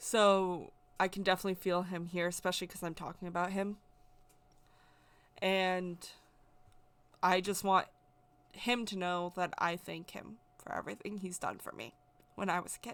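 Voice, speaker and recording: On a very clean recording with a silent background, a soft-spoken woman speaks at a moderate pace in a medium pitch, her intonation monotone and flat, with long, frequent pauses. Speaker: spiritual content creator, witch. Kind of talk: personal testimony. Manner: loud at times.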